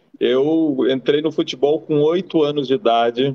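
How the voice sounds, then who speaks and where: A man's plain, everyday voice, fairly high in pitch, at a fairly slow pace with fairly even intonation. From Brazil, Rio Grande do Sul. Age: 50s. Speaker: former football goalkeeper. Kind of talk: interview.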